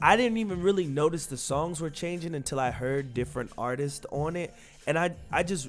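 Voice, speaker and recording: Fairly quick, fairly high-pitched speech from a man with ordinary pitch variation, music playing in the background. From North Carolina (Raleigh). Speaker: podcast co-host. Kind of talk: casual chat.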